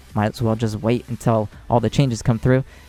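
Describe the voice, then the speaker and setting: Music plays behind the voice. The speaker talks at a very fast pace. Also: man. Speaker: gaming YouTuber. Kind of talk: casual gameplay commentary. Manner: animated.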